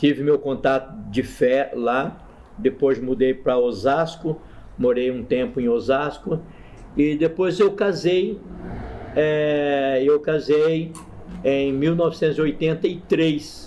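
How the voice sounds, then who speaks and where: This man's voice sits fairly high and moves with ordinary pitch variation. He talks at a very slow pace over noticeable background noise. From Paraná, Brazil (Maringá). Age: 70s. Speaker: pastor and chaplain. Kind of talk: interview, personal testimony.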